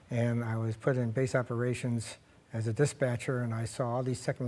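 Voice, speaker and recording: Medium in pitch with a dark, mellow tone, a man speaks with an American accent. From US Midwest, Cleveland, Ohio. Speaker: cancer survivor, retired stockbroker. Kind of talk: interview.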